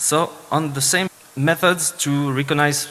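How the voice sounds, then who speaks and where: Over noticeable background noise, a man speaks at a fairly slow pace in a Swiss French accent. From French-speaking Switzerland. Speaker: security engineer, conference speaker. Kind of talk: conference talk. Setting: stage with audience. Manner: halting, many fillers.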